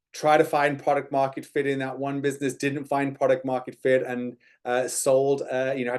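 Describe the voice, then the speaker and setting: Here is a man with an American accent at a medium pitch. His intonation is monotone and flat, and his pace is moderate. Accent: British, slightly Americanized from Texas. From UK. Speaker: entrepreneur and speaker. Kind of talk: webinar presentation. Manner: hesitant, many fillers.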